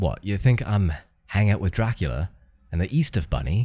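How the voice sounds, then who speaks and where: A man speaks with a very deep, low pitch and very wide pitch swings. The recording is very clean with a silent background. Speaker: podcast co-host. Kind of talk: casual banter, podcast chat.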